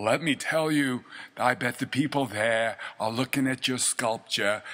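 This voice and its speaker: The man's voice has a bright, sharp tone at medium pitch with ordinary pitch variation. He speaks at a fairly slow pace. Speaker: host reading poem aloud. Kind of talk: poet reading, halting French then English translation; casual chat, promo. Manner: theatrical, hesitant, stumbling over French; casual, jovial, chatty.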